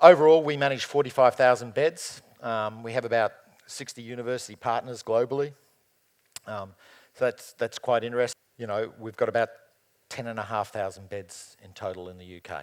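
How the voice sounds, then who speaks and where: A man speaks fairly quickly in an Australian accent. His loudness swings widely. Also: medium pitch for a man, ordinary pitch variation. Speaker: operations director. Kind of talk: conference panel talk. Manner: hesitant, many fillers.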